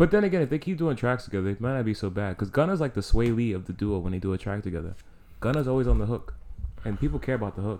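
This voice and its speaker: This man talks at a very fast pace with lively intonation and a New York accent. His voice has a medium pitch and a dark, mellow tone. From New York City, the Bronx. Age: 20s. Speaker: music and sports podcast co-host. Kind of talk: casual chat.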